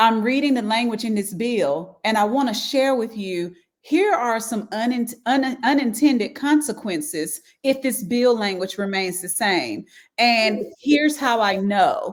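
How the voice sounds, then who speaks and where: On a very clean recording with a silent background, a woman with a strong Southern accent speaks fairly slowly in a fairly high voice with lively intonation. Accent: thick Southern. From US South, rural Halifax County. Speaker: education professional, government affairs liaison. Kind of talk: interview.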